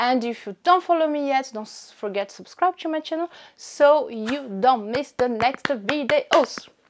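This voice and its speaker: With a French accent, a woman speaks high in pitch at a moderate pace. Her intonation is lively and her loudness swings widely. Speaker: fashion YouTuber. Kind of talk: unboxing vlog. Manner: animated.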